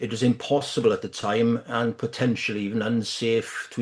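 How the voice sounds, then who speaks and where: Someone with a British accent speaks at a moderate pace with monotone, flat intonation. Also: man. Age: 60s. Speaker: photography lecturer. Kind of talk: webinar presentation. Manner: halting.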